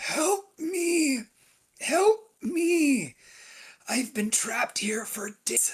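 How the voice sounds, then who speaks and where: A man puts on a character voice at an extremely high pitch, speaking very slowly with long, frequent pauses. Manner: pleading.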